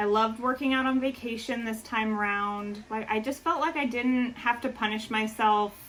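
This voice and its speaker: Hers is a plain, everyday voice, fairly high in pitch, moving at a moderate pace with fairly even intonation and hardly any pauses. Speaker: lifestyle vlogger. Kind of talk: casual chat.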